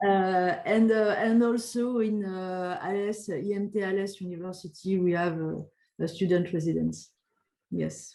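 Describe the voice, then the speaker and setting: A woman with a French accent, medium in pitch and dark, mellow in tone, at a fairly slow pace. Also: fairly even intonation. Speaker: doctoral school representative. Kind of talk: webinar Q&A. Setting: online webinar. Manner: halting, many hesitations.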